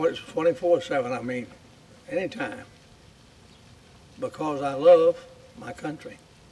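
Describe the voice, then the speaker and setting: The speaker's pitch swings very widely and the loudness rises and falls sharply. Long pauses come often, over noticeable background noise. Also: man, high pitch for a man, moderate pace. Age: 80s+. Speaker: war veteran. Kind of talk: speech. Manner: halting.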